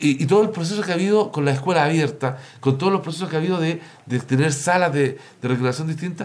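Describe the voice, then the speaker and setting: Very fast speech comes from a man whose pitch is fairly high. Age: 50s. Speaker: local councillor and social worker. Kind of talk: panel discussion.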